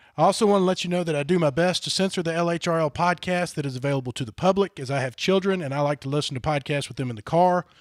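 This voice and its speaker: With a Southern US accent, a man talks at a very fast pace and uses ordinary pitch variation. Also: dry, close sound with no echo. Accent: Southern US, country. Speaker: podcast host. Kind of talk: casual chat.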